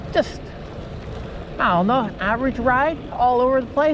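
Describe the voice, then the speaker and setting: Noticeable background noise behind a woman's high voice, moderate in pace, with ordinary pitch variation. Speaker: cycling vlogger. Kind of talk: casual vlog narration while riding. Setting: outdoors on a bicycle.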